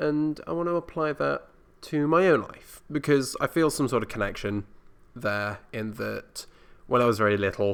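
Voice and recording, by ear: Using a fairly bright, clear, smooth tone with vocal fry, a man speaks at a medium pitch and moderate pace with little pitch movement.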